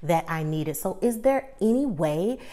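A woman at a fairly low pitch and moderate pace, over a quiet background. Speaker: small YouTuber. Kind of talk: casual vlog chat. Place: home room. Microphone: lapel.

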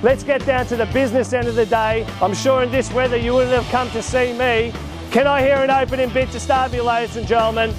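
A man with an Australian accent, extremely high in pitch and flat, monotone in intonation, in a dry sound with no echo and clear music in the background. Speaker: real estate auctioneer. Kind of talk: auction calling. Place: garden.

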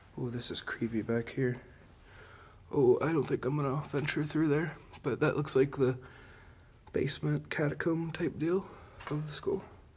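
A somewhat breathy man talks at a moderate pace with fairly even intonation and long, frequent pauses. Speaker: urban explorer host. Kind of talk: casual vlog commentary. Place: hall. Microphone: phone near.

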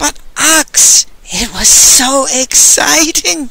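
Very slowly, a put-on character voice speaks at a high pitch. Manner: hissed, excited.

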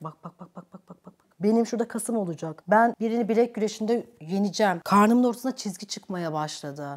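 Against a quiet background, a woman speaks at a moderate pace with an animated tone and lively intonation. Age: 30s. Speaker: YouTuber. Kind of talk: casual chat. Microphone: lapel.

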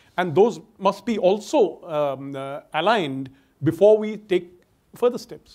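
A man with an Indian accent speaks at a fairly slow pace with a high pitch and lively intonation. His loudness swings widely against a quiet background. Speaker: security scholar; panelist. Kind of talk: panel discussion. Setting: stage with audience. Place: stage. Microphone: lapel.

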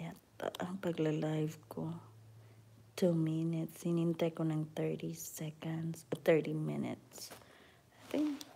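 Very slowly, a woman speaks with big swings in loudness. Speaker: live streamer. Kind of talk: casual vlog chat. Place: home room. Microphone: phone near.

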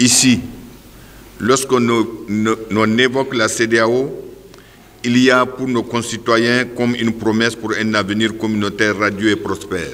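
A man speaks at a fairly slow pace in a monotone with flat intonation, leaving long, frequent pauses. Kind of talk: formal welcome speech. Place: hall. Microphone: podium.

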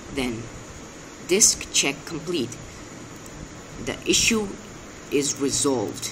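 A man with a non-native accent speaks at a very slow pace, with long, frequent pauses and noticeable background noise. His fairly high voice carries lively intonation. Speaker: amateur tech tutorial maker. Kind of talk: screen-recording tech tutorial. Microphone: phone near.

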